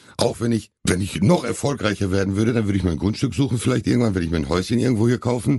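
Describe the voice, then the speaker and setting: Against a quiet background, a man speaks very fast with hardly any pauses, his fairly low voice dark, mellow and somewhat breathy, with very even loudness and ordinary pitch variation. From Hamm, Germany. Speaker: actor and bodyguard. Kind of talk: casual interview.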